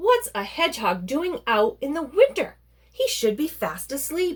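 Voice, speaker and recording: A woman in a put-on character voice, gruff and growling, pitched high with very wide pitch swings at a moderate pace. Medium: read story.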